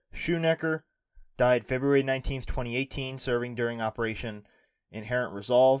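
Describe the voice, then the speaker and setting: A man uses an ordinary speaking voice at medium pitch with fairly even intonation and a moderate pace. The recording is very clean, with a silent background. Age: 20s. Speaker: political podcast host. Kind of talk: solo news commentary podcast.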